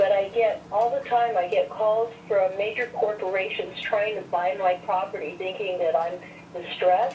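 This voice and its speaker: Noticeable background noise under a woman of medium pitch, with fairly even intonation and a moderate pace. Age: 70s. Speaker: caller, small landlord. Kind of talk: public comment by phone.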